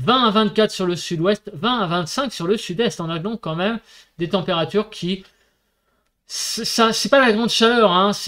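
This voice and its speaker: A man's high-pitched voice at a very slow pace, with ordinary pitch variation against a quiet background. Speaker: weather forecaster. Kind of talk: weather report. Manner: steady, didactic, explaining maps and figures step by step with filler words; relaxed, conversational. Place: home room.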